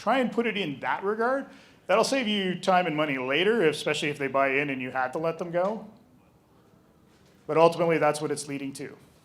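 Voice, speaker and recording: A man with a Canadian accent talks at a very fast pace in a high voice with lively intonation, broken by long, frequent pauses, and audible room echo surrounds him. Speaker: game store owner, presenter. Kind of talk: live presentation. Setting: stage with audience.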